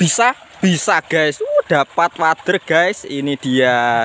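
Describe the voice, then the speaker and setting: A man with lively intonation is heard in a dry, close sound with no echo, against noticeable background noise. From Java, Indonesia. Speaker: fishing vlogger. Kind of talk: casual vlog commentary. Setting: outdoors by a river.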